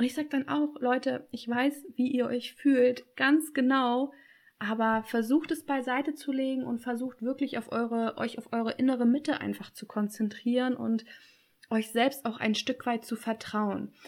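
On a very clean recording with a silent background, a woman talks at a moderate pace in a high pitch with fairly even intonation. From Germany. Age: 20s. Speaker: online business coach. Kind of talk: interview.

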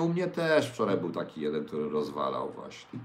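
A man speaks at a fairly quick pace, his pitch swinging very widely. The room's echo can be heard. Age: 60s. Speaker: livestream host. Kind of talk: casual livestream talk with viewer questions. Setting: home kitchen.

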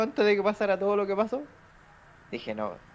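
This man speaks with a high pitch. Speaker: podcast co-host. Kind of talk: casual chat.

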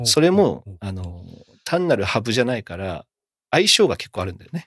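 In a very clean recording with a silent background, a man speaks fairly quickly with very wide pitch swings. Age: 40s. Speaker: podcast host. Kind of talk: casual chat. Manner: animated.

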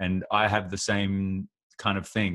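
A man with an Australian accent speaks at a fairly quick pace in a fairly low pitch, with a dry, close sound with no echo and a very clean recording with a silent background. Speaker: podcast host and rapper. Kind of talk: casual interview chat.

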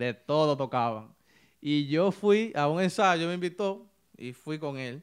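A man's voice at a very slow pace with ordinary pitch variation. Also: very clean recording, silent background. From Dominican Republic, Santiago Rodríguez (northwest line). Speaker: saxophonist, typical music musician. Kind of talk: interview, casual chat. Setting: studio.

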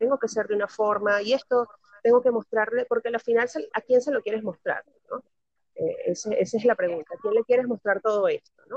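An unremarkable speaking voice moves at a fairly quick pace with fairly even intonation. The sound is dry and close, with no echo. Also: woman, fairly high pitch for a woman. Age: 30s. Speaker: podcast guest. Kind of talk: casual chat.

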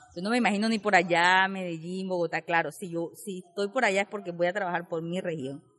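A woman has an unremarkable speaking voice at a medium pitch. She talks at a fairly quick pace. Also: big swings in loudness. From Urabá, Antioquia, Colombia. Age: 20s. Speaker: youth community leader and dance teacher. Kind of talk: personal testimony.

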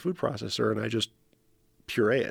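With vocal fry and a medium pitch, a man talks very fast in dry, close sound with no echo on a very clean recording with a silent background. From New Mexico. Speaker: nonprofit founder and podcast host. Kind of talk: casual chat. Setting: recording room. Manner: halting, many fillers and repetitions.

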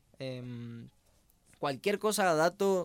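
With lively intonation, a man's voice comes across on a very clean recording against a silent background. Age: 20s. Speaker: university student, podcast co-host. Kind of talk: casual podcast chat. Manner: halting.

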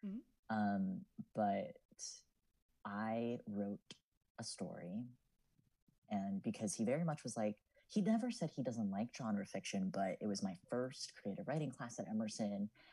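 With an American accent and a dark, mellow tone, a man speaks at a medium pitch and a fairly slow pace, his intonation lively and his pauses long and frequent. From New Jersey (Lakewood, Ocean County). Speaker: college student, published writer. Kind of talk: casual chat.

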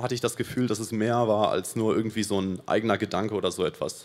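Words come at a very fast pace. The intonation is fairly even. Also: man, very clean recording, silent background. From Paraguay. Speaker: church volunteer. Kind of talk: testimony.

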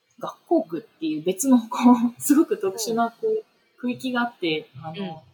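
With music in the background, a woman speaks at a fairly slow pace and fairly high pitch, her pitch swinging very widely and her loudness shifting in big swings. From Tokyo, Japan. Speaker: urban planning consultant. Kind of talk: interview conversation. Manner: hesitant with many fillers.

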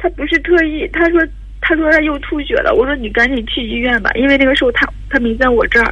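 There is noticeable background noise as a woman speaks at a very fast pace. Her voice is high-pitched with lively intonation. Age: 30s. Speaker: caller. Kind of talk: testimony. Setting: phone call. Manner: quiet; halting.

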